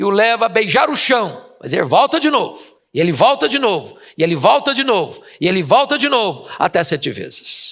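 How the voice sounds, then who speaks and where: With pitch that swings very widely, a man speaks neither fast nor slow. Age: 60s. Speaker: preacher. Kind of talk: sermon.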